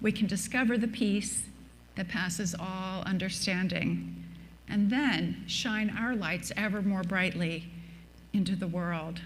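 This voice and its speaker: A woman speaks at a medium pitch with vocal fry and fairly even intonation. Her pace is fairly slow, and the room echo is audible. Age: 70s. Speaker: minister. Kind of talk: sermon.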